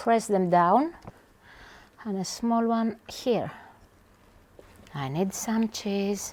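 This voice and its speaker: In a Greek accent, the speaker goes very slowly, with long, frequent pauses. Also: woman, medium pitch for a woman. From Greece, Aegean islands. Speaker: chef. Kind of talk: cooking tutorial. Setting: home kitchen. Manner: animated.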